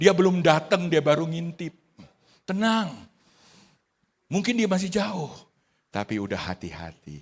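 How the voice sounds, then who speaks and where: A man's animated voice at a fairly slow pace, broken by long, frequent pauses. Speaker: pastor. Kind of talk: sermon. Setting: church. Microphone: good audio today.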